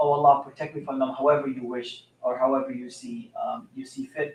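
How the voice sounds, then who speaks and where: Here a man speaks at a moderate pace with ordinary pitch variation. His pitch is fairly high. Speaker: Islamic teacher. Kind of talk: religious talk. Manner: loud; halting. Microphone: mic moved closer after being too quiet.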